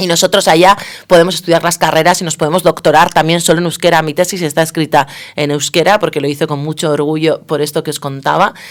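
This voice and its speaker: A woman talks at a very fast pace with a Basque accent. Her voice is very deep and low, and her intonation is monotone and flat. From Basque Country, Spain. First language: Basque (speaking Spanish). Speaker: political science professor. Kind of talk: radio interview.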